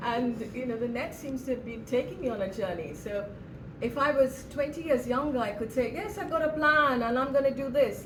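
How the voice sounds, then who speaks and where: Over noticeable background noise and audible room echo, a woman talks at a moderate pace. Her high voice has lively intonation. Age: 70s. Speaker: artist. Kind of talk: public talk with audience Q&A.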